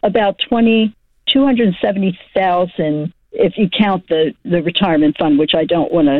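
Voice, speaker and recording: The woman speaks at a moderate pace with a medium pitch. Her intonation is lively and her loudness very even. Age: 60s. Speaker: caller. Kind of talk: phone call-in. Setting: phone call. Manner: halting.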